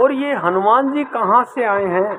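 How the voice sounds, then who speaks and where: Noticeable background noise can be heard as a man talks. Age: 60s. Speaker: devotional singer and storyteller. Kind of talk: religious storytelling talk; channel promotion talk.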